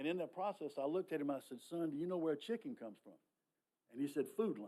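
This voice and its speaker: A man's fairly high voice with a Southern US accent, lively intonation, a dark, mellow tone and a very fast pace. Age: 60s. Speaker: public commenter at county meeting. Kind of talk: public comment. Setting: county planning meeting. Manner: animated.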